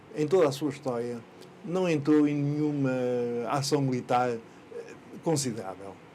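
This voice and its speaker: Audible room echo surrounds a man who leaves long, frequent pauses and uses ordinary pitch variation. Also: fairly high pitch for a man, moderate pace. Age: 80s+. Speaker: local historian. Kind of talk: interview. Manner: hesitant, with many fillers.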